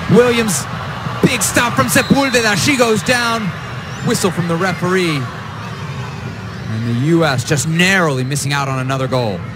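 With music in the background, a man speaks at a moderate pace in a fairly high voice that swings very widely in pitch. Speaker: play-by-play commentator. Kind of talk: live sports commentary. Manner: rising, exclamatory on goals.

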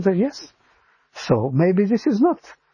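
Someone with an Israeli accent speaks against a quiet background in a dry sound with no echo. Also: man. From Israel, Givatayim near Tel Aviv. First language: Hebrew. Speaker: interviewee sharing faith story. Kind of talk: personal testimony. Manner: halting, with frequent repetitions.

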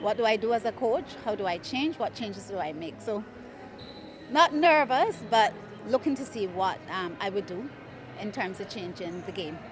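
A woman's fairly high voice swings very widely in pitch over noticeable background noise. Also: dry sound with no echo. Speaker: netball coach. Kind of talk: post-match interview; interview answer. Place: hall. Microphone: handheld.

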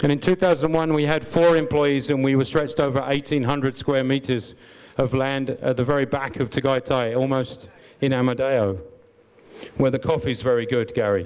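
A man speaks with an English accent. His pitch variation is ordinary. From England. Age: 50s. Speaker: business owner. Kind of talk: conference talk. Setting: stage with audience. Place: hall. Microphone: handheld.

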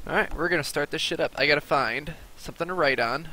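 Someone with an American accent speaks with ordinary pitch variation in a dry sound without echo, over light background noise. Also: man. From US. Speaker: gaming streamer; streamer. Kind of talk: live gameplay commentary. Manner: casual, filler-heavy. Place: home room. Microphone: headset.

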